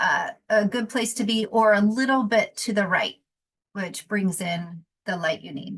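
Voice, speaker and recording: A woman's somewhat breathy voice at a fairly slow pace, with big swings in loudness and ordinary pitch variation. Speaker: photographer and teacher. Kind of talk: tutorial. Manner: halting, many fillers.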